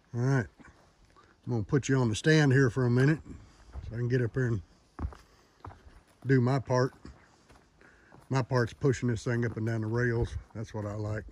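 In a room with audible echo, a man with a medium pitch and a slightly mellow tone talks at a moderate pace with fairly even intonation and long, frequent pauses.

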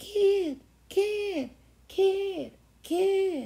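Pitched extremely high, a woman performs a put-on character voice.

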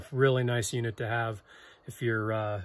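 A somewhat breathy male voice. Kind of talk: product review vlog wrap-up. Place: workshop. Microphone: phone near.

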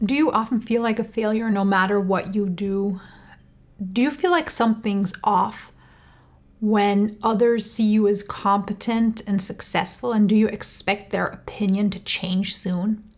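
A woman speaks at a fairly slow pace. Her voice is somewhat breathy. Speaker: channel host. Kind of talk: educational talk to camera. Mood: calm, warm, earnest. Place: home room.

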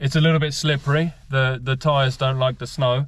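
A man's somewhat breathy voice at a fairly slow pace, with fairly even intonation and a dry sound with no echo. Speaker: vlogger driving a classic car. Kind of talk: casual vlog chat. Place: car. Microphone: phone near.

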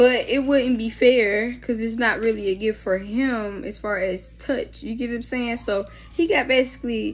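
This somewhat breathy voice keeps a moderate pace with ordinary pitch variation. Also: woman. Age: 20s. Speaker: vlogger. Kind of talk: casual vlog. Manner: animated. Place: home room. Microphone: phone near.

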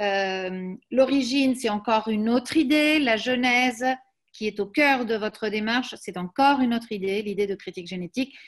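Against a quiet background, a woman talks at a moderate pace. Her voice is fairly high, with ordinary pitch variation. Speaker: academic seminar moderator. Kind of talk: academic seminar introduction. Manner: halting. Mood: warm, appreciative. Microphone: video call.

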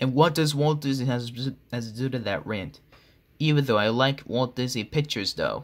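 With an unremarkable speaking voice, this man keeps to a medium pitch, ordinary pitch variation and a moderate pace. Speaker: commentary video creator. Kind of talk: scripted parody commentary with character voices.

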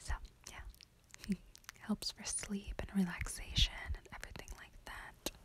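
A woman's whispering at a moderate pace. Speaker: beauty vlogger. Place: home room. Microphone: phone near.

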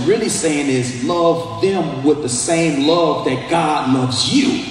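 With music in the background and audible room echo, a man talks at a fairly slow pace with lively intonation. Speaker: pastor. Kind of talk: sermon. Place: hall.

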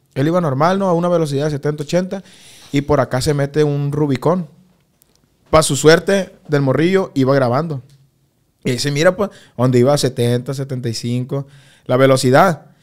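The voice keeps a moderate pace with ordinary pitch variation and long, frequent pauses. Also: man, fairly high pitch for a man. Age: 20s. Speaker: corrido singer. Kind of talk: casual interview chat.

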